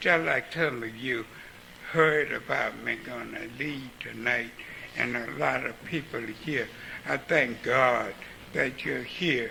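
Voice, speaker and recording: A man at medium pitch talks at a very slow pace with ordinary pitch variation over noticeable background noise. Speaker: recovering alcoholic speaker. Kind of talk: recovery talk. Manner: halting.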